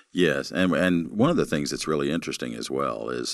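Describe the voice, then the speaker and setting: Vocal fry runs through a man's speech at a moderate pace, with ordinary pitch variation, in a very clean recording with a silent background. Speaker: pastor and ministry program director. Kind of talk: interview conversation.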